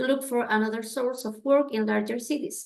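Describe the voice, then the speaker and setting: A woman's high-pitched voice with a Spanish accent, at a moderate pace. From Chile. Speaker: family history intern presenter. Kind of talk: presentation. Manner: halting.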